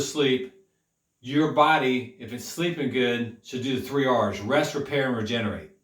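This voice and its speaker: A man talks at a fairly slow pace, with audible room echo. His voice sits at a medium pitch with ordinary pitch variation. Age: 50s. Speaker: health coach. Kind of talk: health talk monologue. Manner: repetitive, halting with self-corrections.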